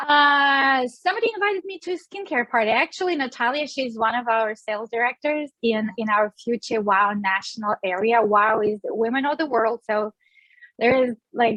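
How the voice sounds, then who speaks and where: With a Russian accent, a woman speaks at a high pitch. Her intonation is lively and her pace moderate. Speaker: beauty sales director. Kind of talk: interview.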